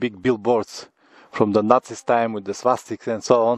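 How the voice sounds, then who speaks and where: A man speaks in a flat, monotone way. The sound is dry with no echo, and the background is quiet. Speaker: travel vlogger. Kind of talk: casual vlog commentary. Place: forest. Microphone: phone near.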